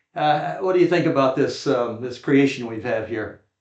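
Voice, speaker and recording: With a normal speaking voice, a man talks at a fairly slow pace using ordinary pitch variation. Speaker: podcast host. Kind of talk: interview questions, casual.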